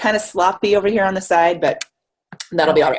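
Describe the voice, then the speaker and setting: Her voice sits at a medium pitch. This woman talks very quickly. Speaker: marketing consultant, webinar presenter. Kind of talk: webinar presentation. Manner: fast; animated.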